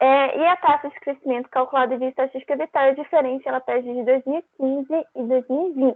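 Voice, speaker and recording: Speaking at a very fast pace with hardly any pauses, a woman with a high voice keeps a fairly even intonation while her loudness swings a lot. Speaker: teaching assistant. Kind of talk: tutorial.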